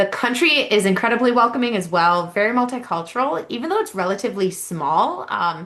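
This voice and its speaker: A plain, everyday voice with an American accent talks at a fairly quick pace with hardly any pauses. The intonation is lively. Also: woman, fairly high pitch for a woman. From United States. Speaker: university admissions representative. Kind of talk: information session presentation.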